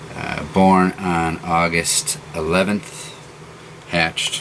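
A man speaks with a very deep, low voice. Light background noise can be heard. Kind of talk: casual product description. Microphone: phone near.

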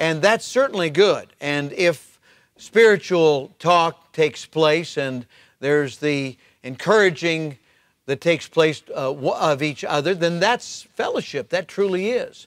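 Speaking at a fairly slow pace, a man uses a high pitch with ordinary pitch variation, the sound dry with no echo and the background quiet. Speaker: pastor. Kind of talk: devotional talk. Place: church.

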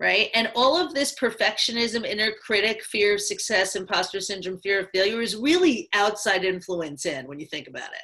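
A woman's fairly high, bright, sharp voice in an animated tone, with very wide pitch swings, big swings in loudness, a moderate pace, hardly any pauses and a quiet background. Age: 50s. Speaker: life coach. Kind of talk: interview. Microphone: video call.

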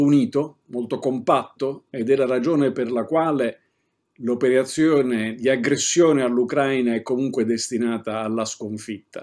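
The setting is quiet. A man speaks at a fairly slow pace. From Italy. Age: 60s. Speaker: political commentator. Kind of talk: political commentary monologue; political commentary. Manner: hesitant fillers. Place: home room.

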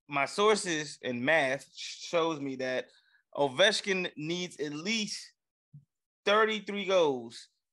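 Against a quiet background, a man talks very slowly with long, frequent pauses. His fairly high voice sounds bright and sharp, with lively intonation. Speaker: sports podcast co-host. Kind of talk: casual banter. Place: home room. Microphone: studio mic.

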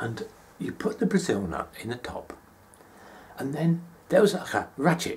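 Speaking with a British accent at a moderate pace, a man with a high pitch and very wide pitch swings uses an animated, warm tone, with big swings in loudness, long and frequent pauses, light background noise and hissing. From England. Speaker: monologue performer. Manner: warm, conversational pacing with pauses and comic timing. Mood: nostalgic, animated. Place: home room. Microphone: phone near.

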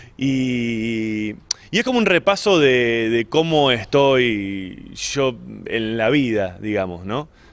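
The intonation is lively. The pace is very slow. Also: man, medium pitch for a man. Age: 40s. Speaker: stand-up comedian. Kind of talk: interview. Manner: halting.

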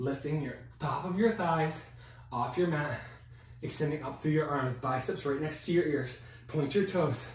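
The voice belongs to a man with a fairly high pitch. Audible room echo surrounds it. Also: ordinary pitch variation, moderate pace. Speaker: fitness instructor. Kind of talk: guided workout class, cueing exercises. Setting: video workout at home. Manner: encouraging, energetic.

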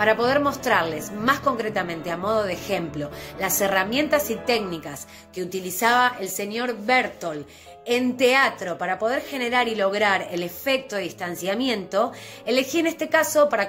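Someone talks at a moderate pace over faint background music. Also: woman. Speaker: theatre teacher. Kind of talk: lecture. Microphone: phone near.

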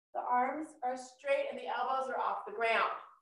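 In a room with audible echo and a quiet background, a woman speaks at a high pitch. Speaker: yoga instructor. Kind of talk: class instruction. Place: home room.

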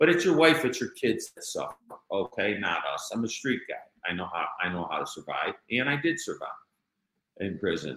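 This man speaks in a Chicago accent. His pace is moderate. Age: 60s. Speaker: author and former mob insider. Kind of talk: interview.

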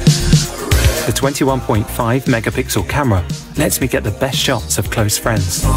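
A man speaks at a fairly slow pace. The sound is dry with no echo, and clear music plays in the background. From British. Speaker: voice actor. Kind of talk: TV commercial read. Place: studio. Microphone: studio mic.

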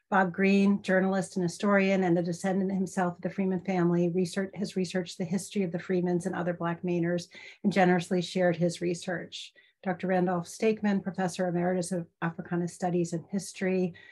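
A woman speaks very fast in a somewhat breathy, flat monotone. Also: medium pitch for a woman. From Maine. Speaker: professor. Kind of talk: lecture. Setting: video call. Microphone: webcam.

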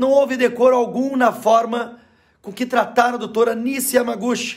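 A man talks with an extremely high pitch and monotone, flat intonation. His pace is fairly slow, against a quiet background. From Rio Grande do Sul, Brazil. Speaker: state legislator and politician. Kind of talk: angry political rant. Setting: video address, monologue. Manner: indignant, forceful, emphatic. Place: home room. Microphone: phone near.

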